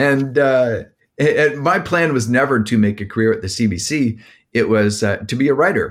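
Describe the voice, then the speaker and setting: A normal speaking voice at a moderate pace with ordinary pitch variation comes through in a very clean recording with a silent background. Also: man, medium pitch for a man. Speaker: podcast co-host. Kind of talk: casual interview conversation.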